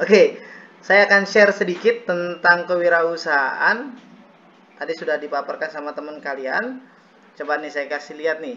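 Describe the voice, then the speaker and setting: Loudness swings widely as a man talks in a high pitch. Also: ordinary pitch variation, moderate pace. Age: 20s. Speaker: university student doing peer teaching, acting as teacher. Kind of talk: classroom lesson roleplay. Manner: casual, joking.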